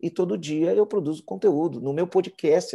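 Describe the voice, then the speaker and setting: Against a quiet background, a man with a fairly high pitch and a dark, mellow tone speaks with ordinary pitch variation. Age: 40s. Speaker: entrepreneur and business consultant. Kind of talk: podcast interview.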